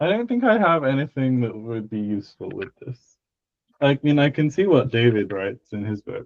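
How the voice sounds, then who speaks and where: Moderate-paced speech from a man at medium pitch, full of lively intonation. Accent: British. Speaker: linguistics discussion participant.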